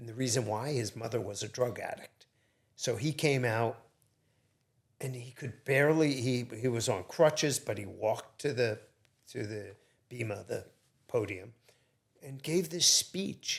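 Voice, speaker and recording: A man with a medium pitch speaks at a fairly slow pace, somewhat breathy, with ordinary pitch variation and big swings in loudness. Long, frequent pauses break up his speech in a very clean recording with a silent background. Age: 60s. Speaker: entrepreneur. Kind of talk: casual interview.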